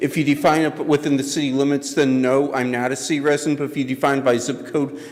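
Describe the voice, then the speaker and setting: A man speaks at a fairly high pitch with fairly even intonation, his voice carrying audible room echo over noticeable background noise. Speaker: resident commenting at public hearing. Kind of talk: public comment at council meeting. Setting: council chamber with audience. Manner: halting, many fillers.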